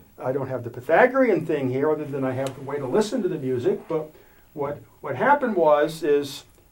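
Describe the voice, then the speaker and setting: A man speaks at a fairly quick pace with a fairly high pitch. There is noticeable background noise. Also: lively intonation. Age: 60s. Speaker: independent electrical researcher. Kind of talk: interview. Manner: halting.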